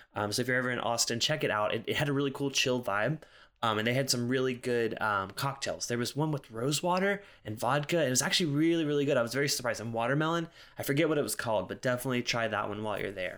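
Over a very clean recording with a silent background, a man with an American accent talks at a very fast pace, his medium pitch showing ordinary variation. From US South, South Carolina. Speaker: podcast host and whiskey reviewer. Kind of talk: solo casual monologue. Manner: casual, frequent filler words.

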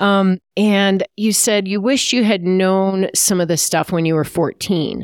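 A woman speaks in a normal speaking voice with fairly even intonation, very even loudness and hardly any pauses. The very clean recording has a silent background and a dry, close sound with no echo. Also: medium pitch for a woman, fairly slow pace. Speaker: podcast host and former triathlete. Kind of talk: casual interview.

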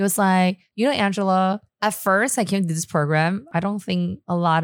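A woman with a Chinese accent is heard in a very clean recording with a silent background. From Taiwan, Taipei. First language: Mandarin Chinese. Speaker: entrepreneur. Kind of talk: casual chat. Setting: studio.

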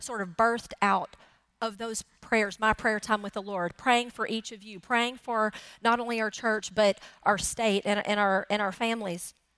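A woman's plain, everyday voice, fairly high in pitch, with fairly even intonation, big swings in loudness and a moderate pace, on a very clean recording with a silent background. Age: 40s. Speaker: pastor. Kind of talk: sermon.

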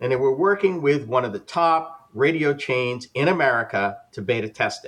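With a plain, everyday voice, a man speaks at a moderate pace, fairly high in pitch, with lively intonation. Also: big swings in loudness. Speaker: podcast host and radio presenter. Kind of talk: casual panel discussion. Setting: live streamed group video chat.

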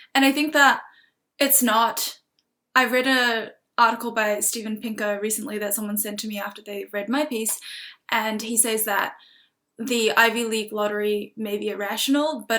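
A woman with a New Zealand accent speaks at a moderate pace in a fairly high, bright, sharp tone. Her intonation stays fairly even while her loudness swings widely. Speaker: recent university student and writer. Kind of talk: casual interview conversation. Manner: hesitant, many fillers.

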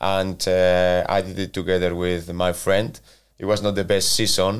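In a very clean recording with a silent background, a man with a Spanish accent speaks in a very deep, low pitch and a monotone, flat intonation. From Spain, Valencia. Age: 40s. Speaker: football manager. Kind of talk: interview. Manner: halting.

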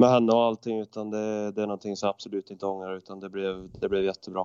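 The background is quiet, and the sound is dry and close with no echo. A man speaks at a fairly low pitch in a monotone, flat way. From Sweden, Värmland (Arvika). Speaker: professional ice hockey player. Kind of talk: casual interview chat.

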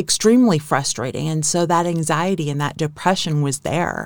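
A woman with a fairly low pitch speaks at a moderate pace. Hers is an ordinary speaking voice. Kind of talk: casual interview chat about her own illness. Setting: studio.

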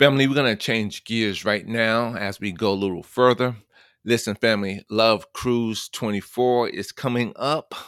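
In a very clean recording with a silent background, a man with a New York accent speaks fairly slowly at medium pitch, his intonation fairly even and the sound dry and close with no echo. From New York City (Queens). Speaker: radio host. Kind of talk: inspirational radio talk.

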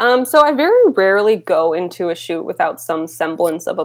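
In an American accent, a normal speaking voice moves at a moderate pace with ordinary pitch variation on a very clean recording with a silent background. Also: woman. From Rochester, New York, US. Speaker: photographer. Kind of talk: interview.

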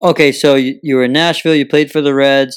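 A man's fairly high-pitched voice in a monotone, flat intonation. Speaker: podcast host. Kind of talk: casual interview. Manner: jokey.

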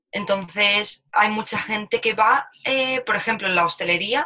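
At a moderate pace, a woman speaks in an unremarkable speaking voice at medium pitch. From Spain, Alicante. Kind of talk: casual chat.

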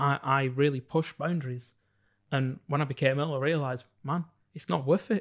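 A man with a northern English accent speaks at a moderate pace and a fairly high pitch. His pitch varies in an ordinary way, on a very clean recording with a silent background. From northern England (Bolton). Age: 30s. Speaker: psychologist and entrepreneur. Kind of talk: interview.

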